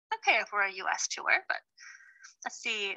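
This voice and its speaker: A woman with an American accent uses a raised, projected voice. Her tone is bright and sharp, and the sound is dry and close with no echo. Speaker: virtual tour guide. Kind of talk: live virtual tour presentation. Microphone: voice muffled by face mask.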